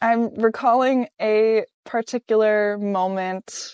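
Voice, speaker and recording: A woman speaks with a Virginia accent. The sound is dry and close with no echo, and the background is quiet. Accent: American, Virginia. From Richmond, Virginia, USA. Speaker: solo traveler and long-distance hiker. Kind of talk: interview answer. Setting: Nelson, New Zealand. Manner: reflective.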